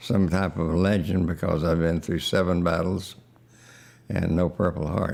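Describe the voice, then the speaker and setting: A man speaks in a very deep, low voice. His intonation stays fairly even at a fairly slow pace. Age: 90s. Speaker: war veteran. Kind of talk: testimony. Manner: halting.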